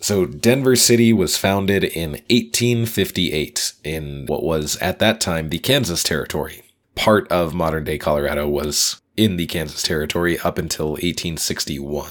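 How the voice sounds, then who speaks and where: A man speaks at a moderate pace with a very deep, low pitch. His intonation is lively. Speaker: podcast co-host, former quiz show contestant. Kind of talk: casual chat.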